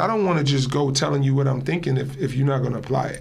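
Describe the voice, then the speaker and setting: Somewhat breathy speech comes at a very fast pace with fairly even intonation and audible room echo. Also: man. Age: 40s. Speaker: show basketball player and media host. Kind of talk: casual interview.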